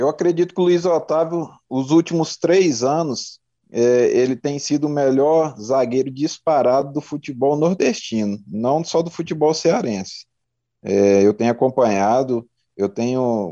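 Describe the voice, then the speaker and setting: With lively intonation, a man is speaking. His delivery is fairly slow. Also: fairly high pitch for a man. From Brazil, Mato Grosso interior. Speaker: retired football defender. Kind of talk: interview, casual chat. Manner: halting, many fillers.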